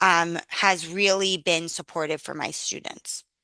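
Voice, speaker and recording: Against a quiet background, a woman talks loudly with a New York accent. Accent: New York City. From New York City. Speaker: university teaching and faculty development director. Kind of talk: conference Q&A. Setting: video call.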